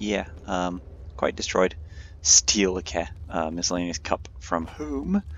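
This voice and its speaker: A man talks with a very deep, low pitch and vocal fry. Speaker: gamer. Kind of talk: gameplay commentary. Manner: casual.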